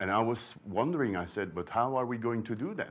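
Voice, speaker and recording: In a Flemish Belgian accent, a man speaks at a moderate pace and a medium pitch. The recording is very clean, with a silent background. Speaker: sourdough librarian, baking expert. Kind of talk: conference talk.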